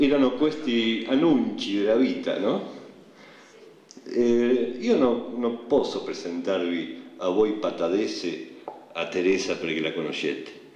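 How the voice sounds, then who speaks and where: A man speaks very slowly, with noticeable background noise and audible echo from the room. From Argentina. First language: Spanish (speaking Italian). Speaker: poet. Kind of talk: public speech. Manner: halting.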